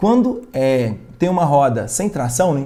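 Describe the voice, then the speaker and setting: A man speaks with a medium pitch and a dark, mellow tone that is somewhat breathy. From rural Minas Gerais, Brazil (near Bom Despacho). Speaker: physics teacher. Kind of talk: online live lesson. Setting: livestream. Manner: casual, conversational.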